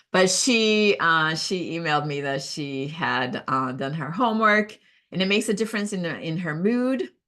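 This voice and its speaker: Against a quiet background, a woman with a Brazilian Portuguese accent talks at a moderate pace in a fairly low pitch with a bright, sharp tone. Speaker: professional organizer. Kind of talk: casual talk. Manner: halting, many fillers.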